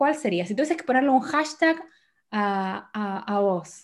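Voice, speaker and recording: A woman with a normal speaking voice talks at a fairly slow pace in a fairly high pitch with lively intonation, on a very clean recording with a silent background. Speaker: podcast host. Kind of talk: interview.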